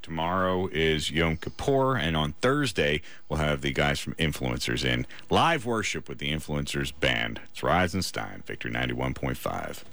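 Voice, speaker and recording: A man's very deep, low voice with an American accent, lively intonation and a fairly slow pace, plus noticeable background noise and audible room echo. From small-town Pennsylvania, US. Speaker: radio host. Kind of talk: morning radio show.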